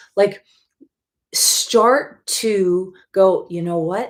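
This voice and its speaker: Using lively intonation, a woman with an American accent speaks at a medium pitch. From US Midwest, Wisconsin. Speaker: life coach and facilitator. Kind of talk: live stream talk. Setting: live video stream. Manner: animated.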